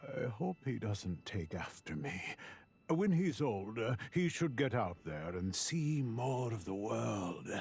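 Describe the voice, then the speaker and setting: A man puts on a character voice at medium pitch and a fairly slow pace. His pitch swings very widely. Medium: video game. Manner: warm, reflective.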